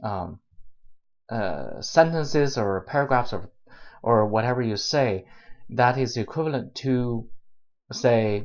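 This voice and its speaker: A man's medium-pitched voice with ordinary pitch variation and a non-native accent. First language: not English. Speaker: YouTuber, software developer giving career advice. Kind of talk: vlog tutorial monologue. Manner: halting, many filler uhs and repetitions.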